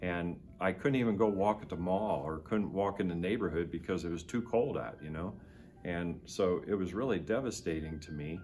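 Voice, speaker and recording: Music plays behind a man with an American accent and a very deep, low voice, speaking at a moderate pace amid audible room echo. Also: ordinary pitch variation. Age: 60s. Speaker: war veteran. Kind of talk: testimony. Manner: halting.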